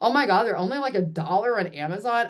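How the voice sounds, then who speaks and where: A woman talks at a fairly quick pace in an animated tone. Her pitch swings very widely. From US South. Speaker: life coach. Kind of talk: casual group video call talk. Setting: video call from home. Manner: fast.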